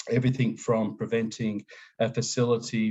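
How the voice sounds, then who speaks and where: A man of medium pitch speaks at a fairly quick pace in an Australian accent. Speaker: safety engineering consultant. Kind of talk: webinar presentation. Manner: hesitant, many fillers.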